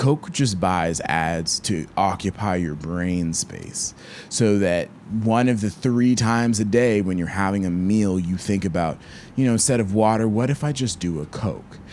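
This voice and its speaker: In an American accent, the speaker talks fairly slowly with ordinary pitch variation and an unremarkable speaking voice. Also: man, fairly low pitch for a man. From US South, Georgia. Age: 20s. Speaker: violist and content creator. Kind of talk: interview. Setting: remote call from his bedroom.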